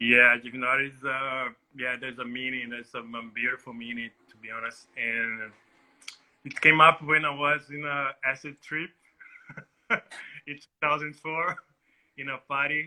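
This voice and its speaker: A man with a Portuguese accent speaks at a moderate pace and medium pitch, his intonation fairly even, his loudness swinging widely, with long, frequent pauses. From Northeast Brazil (Salvador, Bahia). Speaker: DJ. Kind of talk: interview.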